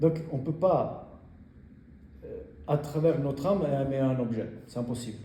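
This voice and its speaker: A man with an Italian accent talks at a fairly slow pace. His pitch is fairly high with ordinary variation, and the room echo is audible. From Italy. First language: Italian (speaking French). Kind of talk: talk about faith to an audience. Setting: in front of a group. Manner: halting, many hesitations.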